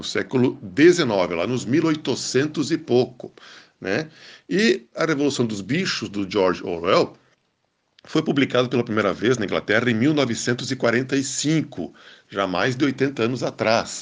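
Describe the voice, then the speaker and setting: Against a quiet background, a man talks at a very slow pace in a medium pitch. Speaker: radio book columnist. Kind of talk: radio commentary.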